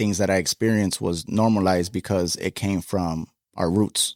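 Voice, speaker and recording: With an ordinary speaking voice, a man at a fairly low pitch speaks at a moderate pace with fairly even intonation, in a dry, close sound with no echo on a very clean recording with a silent background. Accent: American. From Chicago, US. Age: 20s. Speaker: guest sharing life story. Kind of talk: interview testimony. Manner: casual, many fillers.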